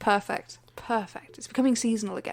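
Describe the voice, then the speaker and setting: Captured in a very clean recording with a silent background, a woman with an English accent speaks at a fairly quick pace in a high voice. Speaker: podcast co-host. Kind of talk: casual chat. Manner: stumbles over words.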